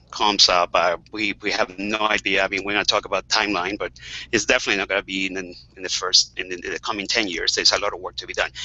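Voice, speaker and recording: A man is speaking. He has a Spanish accent. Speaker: webcast moderator, HIV health advocate. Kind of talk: panel webcast discussion. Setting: video call.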